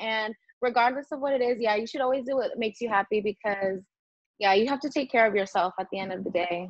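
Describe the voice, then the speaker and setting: Over a quiet background, a woman with an American accent speaks at a very fast pace, her fairly high pitch showing ordinary variation in a dry sound with no echo. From United States. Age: young. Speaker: singer. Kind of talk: interview answer. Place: home room. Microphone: earbuds.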